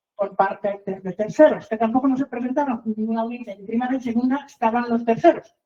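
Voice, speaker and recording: A woman talks at a fairly quick pace. Her high-pitched voice has a dark, mellow tone. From outside Mexico, foreign. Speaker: reporter and litigant telling her case. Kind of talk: testimony. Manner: halting, many fillers and repetitions.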